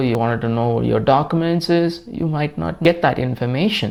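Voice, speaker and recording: With a Tamil Nadu accent, a man talks at a medium pitch. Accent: Tamil Indian English. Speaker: tech YouTuber. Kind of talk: tutorial. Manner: halting.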